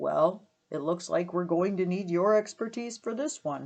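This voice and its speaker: A put-on character voice at a middle pitch and a moderate pace. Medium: read story. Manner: impatient.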